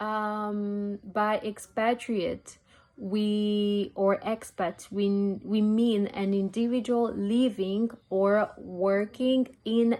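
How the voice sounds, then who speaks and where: The voice moves at a very slow pace, dark and mellow in tone, with monotone, flat intonation. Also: woman. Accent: French. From DR Congo. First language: French. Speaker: university student. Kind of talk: student presentation.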